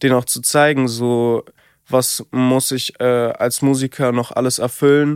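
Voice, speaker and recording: In a dry, close sound with no echo, a man speaks very slowly at a medium pitch with monotone, flat intonation. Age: 20s. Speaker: singer. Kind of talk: casual chat.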